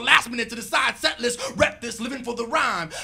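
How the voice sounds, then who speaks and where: Over music in the background, a man speaks at an extremely high pitch in a raised, projected voice. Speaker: rapper and spoken word poet. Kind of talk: spoken word poetry performance. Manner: rhythmic, rhyming delivery. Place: stage. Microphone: handheld.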